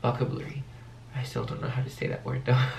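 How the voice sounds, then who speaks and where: A man with a medium pitch speaks in a monotone, flat intonation. There is audible room echo and noticeable background noise. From France, Paris. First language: French. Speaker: youtuber. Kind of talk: casual Q&A vlog.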